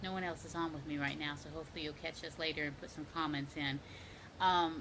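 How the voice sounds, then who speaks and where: A woman's voice with a Southern US accent. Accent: Southern twang. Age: 50s. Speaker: fitness coach. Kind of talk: casual vlog tips. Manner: animated.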